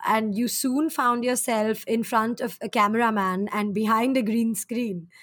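Here is a woman with a plain, everyday voice. Her pitch is fairly high, and her pace is moderate. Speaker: podcast host. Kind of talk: casual interview chat. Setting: at home, remote recording during lockdown.

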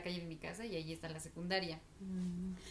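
Speaking at a fairly quick pace in a central Mexican accent, a woman with a medium pitch is heard with audible room echo. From Mexico, Estado de México. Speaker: podcast co-host. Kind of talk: casual chat.

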